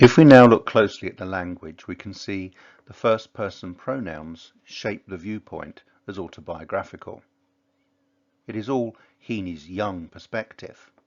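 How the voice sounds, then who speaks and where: An unremarkable speaking voice from a man, fairly low in pitch with ordinary pitch variation, big swings in loudness and a moderate pace. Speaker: English teacher. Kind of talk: educational lecture on a poem.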